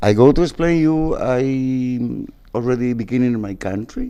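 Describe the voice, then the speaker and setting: A man speaks at a moderate pace and medium pitch, his intonation lively. His tone is dark and mellow. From Paraguay. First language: Spanish. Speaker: musician. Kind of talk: TV interview. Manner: halting, non-native English.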